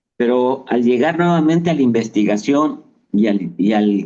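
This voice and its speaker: There is a dark, mellow tone to this man's voice, carried by lively intonation. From Mexico. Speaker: travel agency executive. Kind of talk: interview answer.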